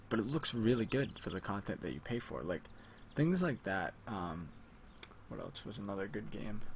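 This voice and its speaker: Speaking at a moderate pace, a man with a fairly low pitch and vocal fry swings his pitch very widely. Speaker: gaming youtuber. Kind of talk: gameplay commentary. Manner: casual, rambling with fillers.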